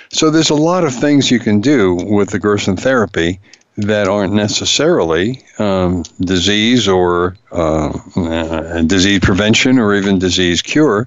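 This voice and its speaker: A man's fairly low voice with lively intonation and very even loudness, fairly slow yet with hardly any pauses, set against noticeable background noise. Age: 70s. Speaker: radio health show host. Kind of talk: radio monologue. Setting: radio broadcast. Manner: halting, many fillers and repetitions.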